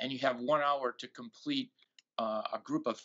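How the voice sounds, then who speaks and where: In a plain, everyday voice, a man speaks at a moderate pace with medium pitch and fairly even intonation. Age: 60s. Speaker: golf pundit. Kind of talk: casual chat.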